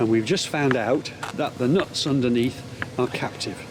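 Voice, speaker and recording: A man talks at a medium pitch and moderate pace. Noticeable background noise runs underneath. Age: 70s. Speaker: retired solo sailor. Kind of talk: documentary voice-over narration.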